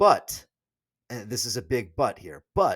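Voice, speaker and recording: An animated man at a fairly slow pace with very wide pitch swings, dry and close with no echo, on a very clean recording with a silent background. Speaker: political commentator. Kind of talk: solo video commentary.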